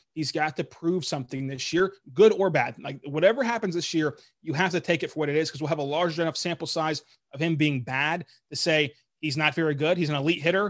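A plain, everyday voice: a man with an American accent, fairly high-pitched, ordinary pitch variation, fairly quick pace. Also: very clean recording, silent background. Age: 20s. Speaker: sports podcaster. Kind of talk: casual chat. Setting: call.

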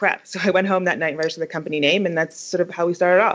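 The woman's voice is fairly low. She talks very fast. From London, England. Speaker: creative agency founder. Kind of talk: casual interview.

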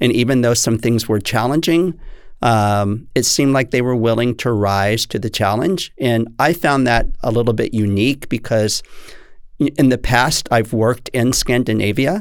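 Man with an American accent and an unremarkable speaking voice, medium pitch, ordinary pitch variation, very even loudness and a moderate pace, in a very clean recording over a silent background. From Texas. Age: 60s. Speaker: dance teacher. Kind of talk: interview.

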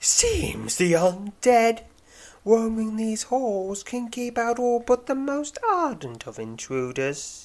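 In a put-on character voice, a man speaks at a very slow pace and an extremely high pitch, with lively intonation. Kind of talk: formal, archaic. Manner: cold, menacing.

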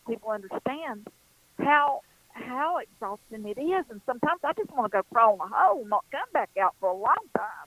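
A woman talks at a moderate speed with lively intonation, noticeable noise sounding in the background. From western North Carolina. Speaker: psychic. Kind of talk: radio interview. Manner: warm, folksy, self-deprecating.

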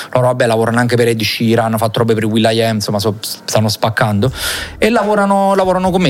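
A man talks very fast, with noticeable background noise around him. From Salerno, southern Italy. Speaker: DJ and music producer. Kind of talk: casual interview.

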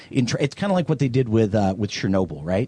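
With an American accent and a medium pitch, a man speaks in very wide pitch swings, the sound dry and close with no echo. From US South, Louisiana. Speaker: film producer. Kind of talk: casual chat.

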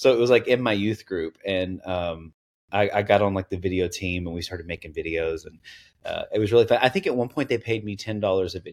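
In a very clean recording with a silent background, a man with a Southern US accent speaks at a very fast pace in a fairly low voice, with ordinary pitch variation and big swings in loudness. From East Tennessee. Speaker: content creator. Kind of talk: casual interview chat.

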